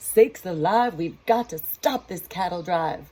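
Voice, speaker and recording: A put-on character voice at a middle pitch delivers its lines at a moderate pace. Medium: read story. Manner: hollering.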